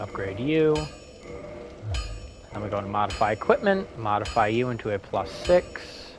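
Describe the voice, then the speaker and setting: Over noticeable background noise, a man talks at a moderate pace with lively intonation and long, frequent pauses. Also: medium pitch for a man. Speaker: gaming streamer. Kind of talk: gameplay commentary. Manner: energized, louder than usual; casual, rambling with fillers.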